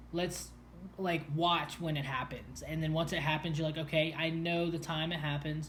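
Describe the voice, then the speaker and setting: At a moderate pace, a man speaks with a fairly high pitch and monotone, flat intonation, with audible room echo and noticeable background noise. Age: 20s. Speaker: person with a brain condition telling his story. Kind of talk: casual chat. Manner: halting, many fillers.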